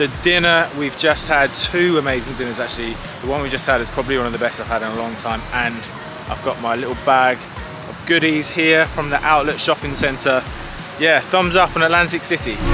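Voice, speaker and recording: A man speaks at a fairly quick pace with ordinary pitch variation. The sound is dry with no echo, and music plays in the background. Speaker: travel vlogger. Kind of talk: casual vlog chat. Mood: upbeat, pleased. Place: beach. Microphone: phone near.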